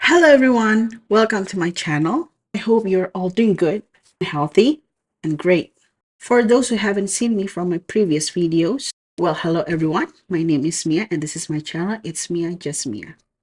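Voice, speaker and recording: A woman in an Indonesian accent, medium in pitch, with lively intonation and a moderate pace. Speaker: book vlogger. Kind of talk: casual book review vlog.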